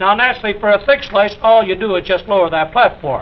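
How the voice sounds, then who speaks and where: A man speaks at a very fast pace. Noticeable background noise is present. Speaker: kitchen gadget demonstrator. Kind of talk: 1950s television infomercial product demonstration. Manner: upbeat, salesman-like, enthusiastic.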